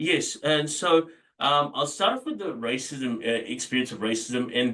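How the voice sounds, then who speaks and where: With an Australian accent, a man speaks in a bright, sharp tone. His pitch variation is ordinary. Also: medium pitch for a man, moderate pace. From Australia, arrived from Dubai as small child in 1990. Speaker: property businessman. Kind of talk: interview. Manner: halting, many fillers.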